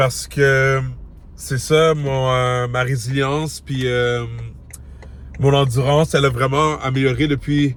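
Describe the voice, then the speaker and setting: Over noticeable background noise, a man with a Quebec accent speaks very slowly at medium pitch in a monotone, flat intonation. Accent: Québécois French. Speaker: fitness vlogger. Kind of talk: vlog. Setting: in a car, then a gym. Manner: casual, talkative.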